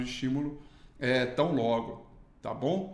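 A man is speaking. Some room echo can be heard. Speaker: market analyst. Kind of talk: morning market commentary.

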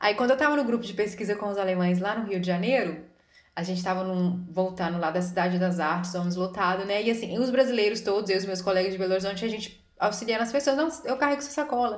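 Audible room echo surrounds a woman speaking very fast at a medium pitch with ordinary pitch variation. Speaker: podcast co-host. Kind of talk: casual chat.

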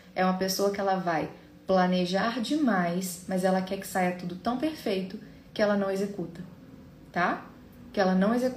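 A somewhat breathy woman's voice at a medium pitch and moderate pace, with ordinary pitch variation, long, frequent pauses and audible room echo. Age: 30s. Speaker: podcast host, psychologist. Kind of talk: solo educational talk.

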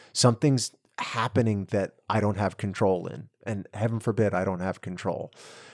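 A man speaks in a calm tone at a fairly low pitch and a moderate pace. His intonation stays fairly even, and the sound is dry and close with no echo. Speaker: recovery mentor, IT worker. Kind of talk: casual chat.

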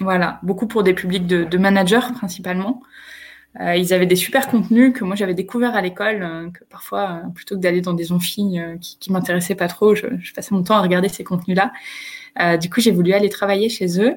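Somewhat breathy, a woman talks at a fairly quick pace and medium pitch with fairly even intonation. Her loudness swings widely. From northern France, Picardy. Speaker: HR entrepreneur and speaker. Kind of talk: live video interview. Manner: halting, repeats words.

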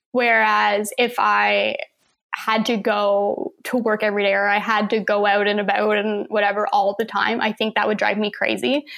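Speaking at a fairly slow pace, a woman with a fairly high pitch has a normal speaking voice. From Saint John, New Brunswick, Canada. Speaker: photographer and artist. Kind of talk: casual chat.

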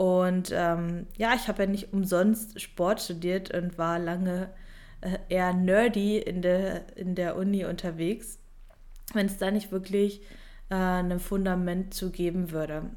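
A woman's medium-pitched voice at a very slow pace. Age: 20s. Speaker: online fitness and mindset coach. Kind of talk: solo podcast monologue. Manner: energetic, motivational.

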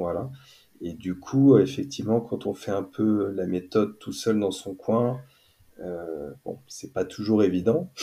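A man's fairly low voice, dark and mellow in tone, at a very slow pace with big swings in loudness. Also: ordinary pitch variation, very clean recording, silent background. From western France, near Nantes. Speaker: neurofeedback practitioner. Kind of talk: casual chat.

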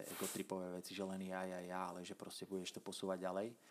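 With monotone, flat intonation, a man talks in a very deep, low pitch. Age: 30s. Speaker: podcast host. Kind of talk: casual interview.

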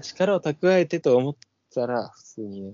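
A man speaks at a fairly slow pace. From Hokkaido, Japan. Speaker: podcast co-host. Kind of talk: casual chat.

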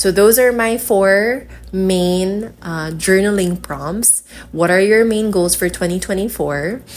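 A woman's medium-pitched voice with a Filipino accent, ordinary pitch variation and a very slow pace. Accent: Filipino (Hiligaynon) English. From Philippines, Iloilo City. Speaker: yoga instructor and podcast host. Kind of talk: casual solo podcast talk. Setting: recording while traveling, hotel in Boracay.

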